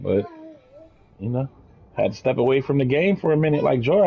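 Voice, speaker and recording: A man talks at a very fast pace. His speech is broken by long, frequent pauses. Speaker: gaming streamer. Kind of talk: casual chat. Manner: loud.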